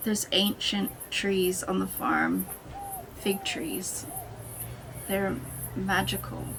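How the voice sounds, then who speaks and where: A woman talks at a very slow pace, with audible echo in the room. Music plays in the background. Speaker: artist and first-time vlogger. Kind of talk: personal vlog monologue. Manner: halting.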